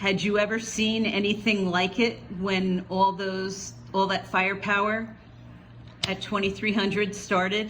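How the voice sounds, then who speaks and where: Over noticeable background noise, a woman speaks fairly slowly at a medium pitch with monotone, flat intonation. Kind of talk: interviewer questions.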